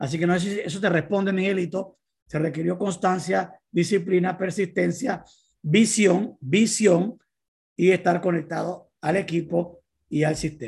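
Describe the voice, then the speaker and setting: The speaker talks at a fairly slow pace in a Panamanian accent. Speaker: motivational speaker. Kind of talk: motivational talk.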